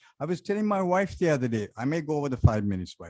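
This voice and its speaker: With a Sri Lankan accent and a dark, mellow tone, the man talks at a very fast pace, his pitch swinging very widely. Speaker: resident speaking at public comment. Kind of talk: public comment at council meeting. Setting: city council chamber.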